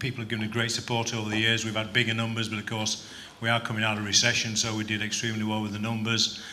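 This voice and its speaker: At a very fast pace, a man talks in a medium pitch, with audible room echo and noticeable background noise. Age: 60s. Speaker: business convention organiser. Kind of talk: interview at awards event.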